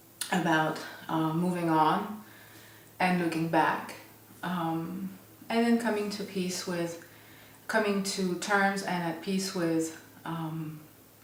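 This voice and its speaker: In a room with audible echo and noticeable background noise, a woman speaks at a very slow pace with long, frequent pauses, her fairly low pitch held in fairly even intonation. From France, Paris area. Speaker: photographer. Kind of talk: interview. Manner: hesitant, many fillers.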